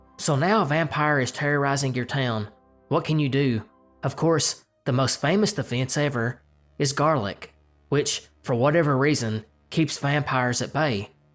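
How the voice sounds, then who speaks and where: A man speaks fairly slowly over background music. His voice is fairly high and varies in pitch in an ordinary way. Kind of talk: folklore narration.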